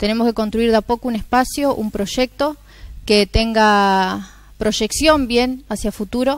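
The delivery is fairly slow, with fairly even intonation. The sound is dry with no echo, over a quiet background. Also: woman. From Argentina, Santa Fe province. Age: young. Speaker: mayoral candidate; election candidate. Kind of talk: TV interview. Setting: TV studio. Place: studio. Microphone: lapel.

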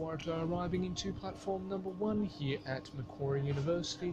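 Amid noticeable background noise, a man speaks with lively intonation at a moderate pace. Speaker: transport vlogger. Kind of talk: commentary. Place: station. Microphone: phone near.

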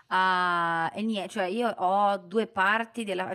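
Against a quiet background, a woman speaks at a fairly slow pace. Her pitch variation is ordinary. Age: 20s. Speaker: Italian teacher for foreigners. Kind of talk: casual chat. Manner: halting. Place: studio. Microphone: studio mic.

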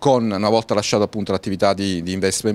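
A man with a fairly low-pitched voice. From Naples, southern Italy (until 13), then Milan. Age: 40s. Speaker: local politician, city councillor. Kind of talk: interview. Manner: hesitant, many filler sounds. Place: street.

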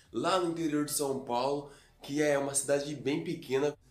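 A man is speaking. Room echo is audible. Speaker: vlogger. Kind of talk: casual vlog chat. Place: home room. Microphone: phone near.

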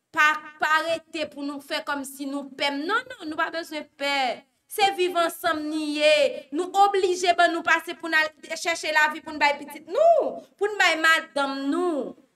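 A woman's extremely high, raised and projected voice, bright and sharp in tone, at a very slow pace with big swings in loudness, ordinary pitch variation and light background noise. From Haiti. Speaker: news show host. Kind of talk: news commentary. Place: studio.

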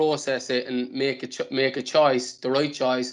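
The man's pitch is fairly high. His intonation is monotone and flat. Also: quiet background. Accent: Cork. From Ireland. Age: 20s. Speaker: professional footballer; guest. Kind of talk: casual interview. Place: home room. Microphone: earbuds.

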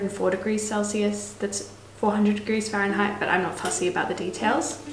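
With light background noise and audible room echo, a woman talks at a moderate pace. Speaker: home cook vlogger. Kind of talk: casual cooking tutorial chat. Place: kitchen. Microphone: camera far.

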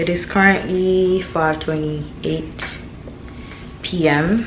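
Noticeable background noise fills the clip. A woman speaks with fairly even intonation. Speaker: vlogger. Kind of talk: casual vlog chat. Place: kitchen. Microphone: phone near.

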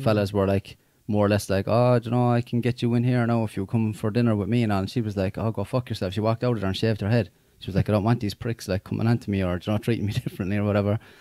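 A man with an Irish accent, very fast, in a dark, mellow, fairly low and flatly monotone voice, dry with no echo against a quiet background. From Ireland. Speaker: podcast host. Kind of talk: casual podcast conversation. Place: studio. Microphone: studio mic.

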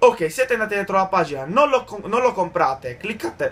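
Putting on a character voice, a man speaks hoarsely at a moderate pace in a high pitch, with very wide pitch swings. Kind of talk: gameplay tutorial commentary.

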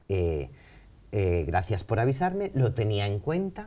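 A man talks at a fairly slow pace in a fairly low pitch, his tone dark, mellow and somewhat breathy. His pitch swings very widely. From Valencia, Spain; Spain. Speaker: painter; interview guest. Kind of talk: interview conversation. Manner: halting, many fillers. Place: studio.

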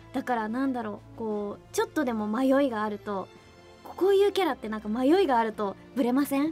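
A woman with a high voice and lively intonation at a fairly quick pace, faint music in the background. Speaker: voice actress playing the princess in the anime, radio guest. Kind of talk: radio guest talk about her role, casual conversation. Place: studio.

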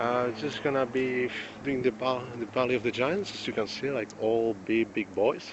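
A man speaks at a moderate pace. The sound is dry with no echo, with light background noise. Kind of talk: casual vlog chat. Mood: relaxed, content. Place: forest. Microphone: phone near.

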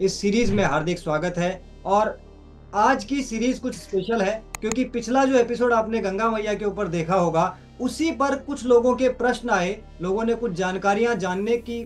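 Over faint background music, a man speaks fairly slowly with ordinary pitch variation. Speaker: show host. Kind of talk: interview questions and channel intro. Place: home room. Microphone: phone near.

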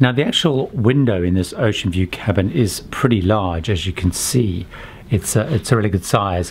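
This man has a plain, everyday voice, pitched fairly low, with lively intonation. He keeps a moderate pace over light background noise. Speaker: travel vlogger. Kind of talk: casual tour commentary. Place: home room. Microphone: phone near.

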